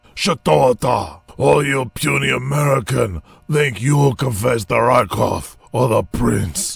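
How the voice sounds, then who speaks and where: A man's put-on character voice in a Russian accent, raspy and at medium pitch, with lively intonation, a fairly slow pace and hardly any pauses. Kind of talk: exaggerated, overacted. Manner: menacing, gruff.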